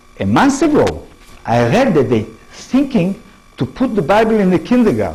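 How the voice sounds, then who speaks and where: A man's high-pitched voice in an Israeli accent, swinging very widely in pitch at a moderate pace, very even in loudness, with music in the background. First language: Hebrew. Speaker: professor. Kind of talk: lecture. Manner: halting.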